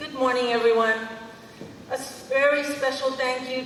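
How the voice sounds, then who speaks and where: Fairly even intonation amid audible room echo and noticeable background noise. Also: woman. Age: 60s. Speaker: school superintendent. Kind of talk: ceremony speech. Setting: podium at outdoor ceremony with audience.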